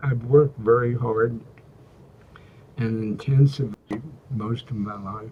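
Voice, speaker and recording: With a dark, mellow tone and a medium pitch, a somewhat breathy man speaks at a fairly slow pace with long, frequent pauses, fairly even intonation and big swings in loudness. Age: 80s+. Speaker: executive coach and former university president. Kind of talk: interview. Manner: halting.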